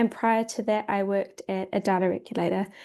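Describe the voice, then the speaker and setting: Very fast speech comes from a woman with a New Zealand accent. Her tone is dark and mellow, and the background is quiet. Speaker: data protection expert. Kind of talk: self-introduction on a webinar.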